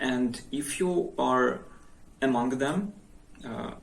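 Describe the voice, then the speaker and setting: There is audible room echo around a man's medium-pitched voice. He speaks at a very slow pace with ordinary pitch variation. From Ukraine, Odesa region. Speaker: vlogger. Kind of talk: personal account. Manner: halting.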